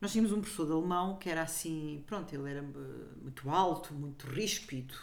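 The room echo is audible as a woman speaks at a moderate pace. Her pitch is very deep and low, with ordinary variation. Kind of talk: casual chat.

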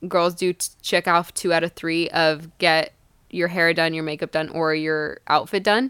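In a very clean recording with a silent background, a woman with an ordinary speaking voice talks at a moderate pace, her fairly low pitch following a fairly even intonation. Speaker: podcast co-host. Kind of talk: casual chat.

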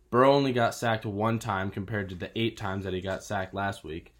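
A man with an ordinary speaking voice. His pitch is fairly low and his intonation fairly even. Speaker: podcast host, college student. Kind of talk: casual sports podcast chat.

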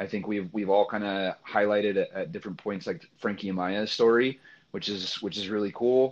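A man talks with a fairly low pitch and ordinary pitch variation. He keeps a moderate pace over a quiet background. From Central Coast California, US. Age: 30s. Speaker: soccer coach educator and podcast host. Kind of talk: interview. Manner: animated.

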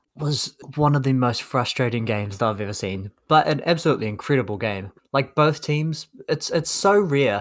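On a very clean recording with a silent background, a man talks at a moderate pace and medium pitch. He has an ordinary speaking voice with lively intonation. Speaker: basketball podcast co-host. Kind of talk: casual chat.

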